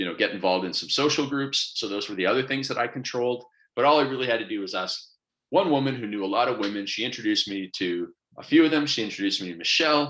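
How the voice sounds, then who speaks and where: Talking at a very fast pace, a man sounds energetic, with a bright, sharp tone and lively intonation. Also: medium pitch for a man. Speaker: business coach. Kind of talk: online coaching presentation.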